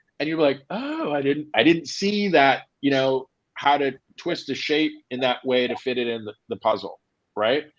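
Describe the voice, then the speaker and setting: In a plain, everyday voice, a man speaks at a moderate pace with lively intonation. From Jamaica, raised in South Florida. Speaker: tech startup founder. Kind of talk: career advice talk. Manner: casual, many fillers.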